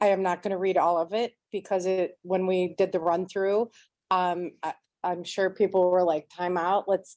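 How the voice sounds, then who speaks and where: A woman at a medium pitch and moderate pace, against a quiet background. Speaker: voting organization volunteer, former teacher. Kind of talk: presentation. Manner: projecting teacher voice.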